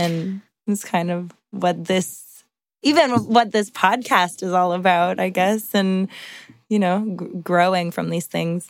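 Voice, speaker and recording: A woman talks at a very slow pace with ordinary pitch variation. The recording is very clean with a silent background. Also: medium pitch for a woman. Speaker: singer-songwriter. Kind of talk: casual chat. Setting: recording studio.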